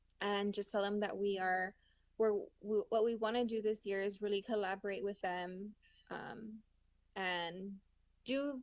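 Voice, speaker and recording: A woman uses an ordinary speaking voice at a medium pitch and moderate pace. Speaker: chair of a city women's commission. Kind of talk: public committee meeting. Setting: video call.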